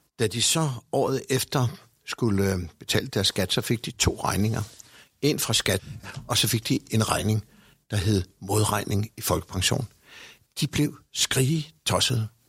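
A man with a medium-pitched voice speaks at a very slow pace, with very even loudness, ordinary pitch variation, and long, frequent pauses. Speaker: director of senior citizens' organisation. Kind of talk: discussion. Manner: hesitant with fillers.

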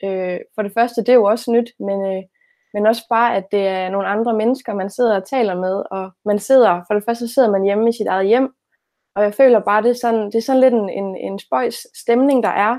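At a moderate pace, a woman with an ordinary speaking voice talks at a fairly high pitch with fairly even intonation. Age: 20s. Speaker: teacher-training student. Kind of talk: conversational interview.

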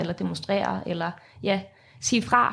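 Vocal fry at a moderate pace on a very clean recording with a silent background. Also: woman. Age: 20s. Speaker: student and climate activist. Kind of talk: interview. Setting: studio.

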